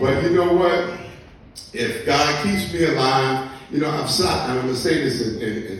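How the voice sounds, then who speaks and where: With a fairly high pitch, a man speaks at a moderate pace with lively intonation. Audible room echo and noticeable background noise are present. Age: 60s. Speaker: recovering addict giving testimony. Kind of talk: testimony. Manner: animated.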